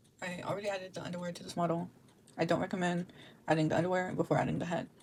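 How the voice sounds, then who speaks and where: A woman with a fairly low pitch talks very fast in a monotone, flat way, her loudness swinging widely. Noticeable background noise sits behind her. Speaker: 3D avatar creator. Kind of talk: software tutorial narration. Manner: hesitant, many filler words.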